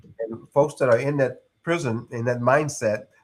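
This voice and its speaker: A man with a Texas accent, medium in pitch, at a moderate pace with fairly even intonation. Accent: Southern US (Texas). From East Texas. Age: 60s. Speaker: retired air force senior sergeant and executive coach. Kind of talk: interview conversation. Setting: live podcast.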